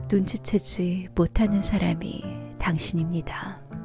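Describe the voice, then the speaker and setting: With music in the background, a woman speaks at a very slow pace in a calm tone. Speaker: audiobook narrator. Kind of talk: literary prose reading.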